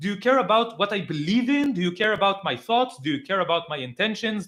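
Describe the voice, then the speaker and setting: A man speaks with an Israeli accent. His pitch is high. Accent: Hebrew. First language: Hebrew. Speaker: political commentator. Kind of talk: live reaction stream. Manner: halting, many filler words; animated.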